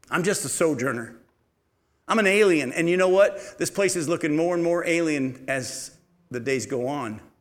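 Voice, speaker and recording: Audible room echo surrounds a man speaking at a moderate pace. His pitch is fairly high and his intonation lively. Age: 50s. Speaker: pastor. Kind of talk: sermon.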